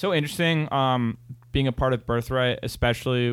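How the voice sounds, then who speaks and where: An unremarkable speaking voice from a man at medium pitch, fairly quick in pace, with fairly even intonation. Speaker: podcast host, college student. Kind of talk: casual chat.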